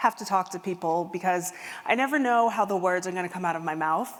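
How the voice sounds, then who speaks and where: A woman talks at a medium pitch. Her voice carries audible room echo. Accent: American. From US Midwest. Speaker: keynote speaker and empathy consultant. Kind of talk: keynote talk. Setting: stage with audience.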